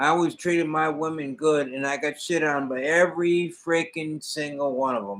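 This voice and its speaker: Here a man uses a normal speaking voice, pitched fairly high, with ordinary pitch variation. His pace is moderate, and he hardly pauses. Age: 60s. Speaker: hobby livestreamer. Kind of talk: casual chat. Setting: livestream.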